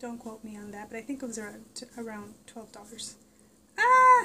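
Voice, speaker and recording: Female speech with ordinary pitch movement, set against noticeable background noise. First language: Spanish. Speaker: vlogger. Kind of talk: casual product review vlog. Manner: animated.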